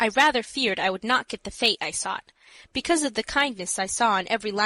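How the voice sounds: Everything is delivered in a natural reading voice.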